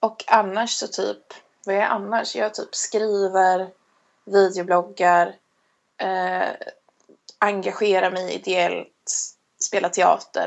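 This woman talks at a very slow pace, leaving long, frequent pauses. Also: medium pitch for a woman. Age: 20s. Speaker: podcast co-host. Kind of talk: casual chat.

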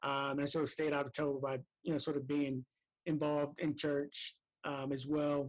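A man's fairly high voice with an American accent, monotone and flat, at a moderate pace. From New Jersey, Camden. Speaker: former boarding school athlete and alumnus. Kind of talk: interview. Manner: halting, many fillers.

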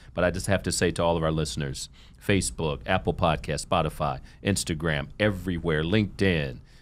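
Very deep and low in pitch with vocal fry, a man with an American accent speaks at a fairly quick pace with ordinary pitch variation, in a very clean recording with a silent background. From Ohio. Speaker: podcast host and nonprofit executive. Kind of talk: interview. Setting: studio. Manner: upbeat.

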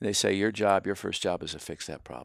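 Recorded very cleanly against a silent background, a man with a Pennsylvania accent sounds dry and close with no echo. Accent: Pennsylvania American English. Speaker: building products executive. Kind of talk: casual chat. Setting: at guest's home. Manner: blunt, outspoken.

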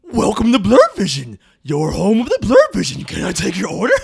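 This is a put-on character voice with a fairly high pitch. The delivery moves at a fairly quick pace. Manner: mocking.

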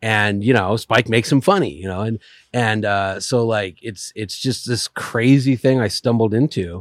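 On a very clean recording with a silent background and a dry, close sound with no echo, a man talks at a moderate pace in a medium pitch with ordinary pitch variation. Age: 40s. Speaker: podcast guest and car writer. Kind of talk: casual interview chat. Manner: talkative, tends to overtalk.

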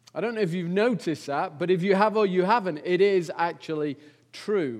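A man with an English accent, high-pitched, with ordinary pitch variation. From England. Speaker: visiting preacher. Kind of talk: sermon. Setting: church. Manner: hesitant, many fillers.

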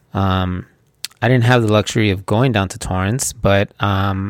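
In a very clean recording with a silent background, a man speaks in a normal speaking voice at a moderate pace with fairly even intonation. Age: 40s. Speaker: podcast host, jiu-jitsu practitioner. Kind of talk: solo podcast monologue.

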